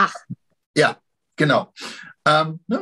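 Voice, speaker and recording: A man is talking. He goes at a fairly slow pace. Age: 50s. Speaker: Pilates teacher and history enthusiast. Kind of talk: casual chat.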